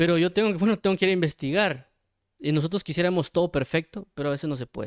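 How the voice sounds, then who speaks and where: On a very clean recording with a silent background, dry and close with no echo, a man talks very fast in a high pitch with ordinary pitch variation. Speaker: Bible teacher. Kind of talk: sermon. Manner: stutters at times; many fillers, hesitant.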